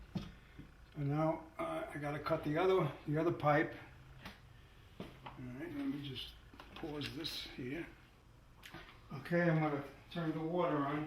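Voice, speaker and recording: A man's fairly high, monotone voice at a fairly slow pace, with long, frequent pauses, audible room echo and noticeable background noise. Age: 70s. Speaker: DIY home repair video maker. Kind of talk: tutorial. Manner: halting, repeats words.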